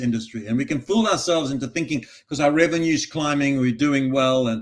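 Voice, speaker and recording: Talking at a very fast pace, a man with an Australian accent has a fairly high-pitched voice. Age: 60s. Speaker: recruitment industry advisor and author. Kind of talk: podcast interview.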